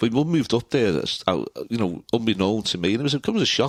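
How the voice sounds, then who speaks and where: Delivered at a very fast pace with very wide pitch swings in a Liverpool accent, the speech comes on a very clean recording with a silent background. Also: man. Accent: Scouse. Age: 60s. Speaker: retired local politician and author. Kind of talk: casual interview. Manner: halting, frequent repetitions.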